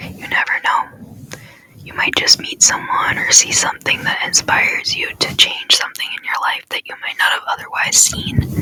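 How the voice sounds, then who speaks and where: A woman whispering in a gentle, soothing tone at a moderate pace, with big swings in loudness and noticeable background noise. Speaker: ASMR content creator. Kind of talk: ASMR motivational talk to camera. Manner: soft, gentle, repetitive, soothing.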